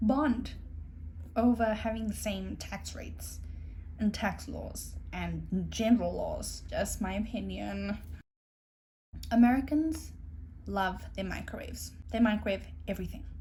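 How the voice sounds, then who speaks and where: Speaking in a South African accent, a woman moves at a fairly slow pace with long, frequent pauses. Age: 20s. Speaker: au pair. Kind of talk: casual talk to camera.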